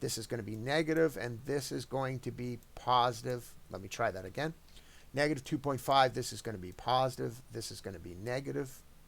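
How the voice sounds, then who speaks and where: Talking at a fairly quick pace, a man at medium pitch shows vocal fry, big swings in loudness and ordinary pitch variation. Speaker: math teacher. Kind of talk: tutorial. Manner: fast.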